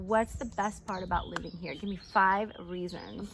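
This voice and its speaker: A woman speaks at a moderate pace in an upbeat, enthusiastic tone. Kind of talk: casual talk to camera.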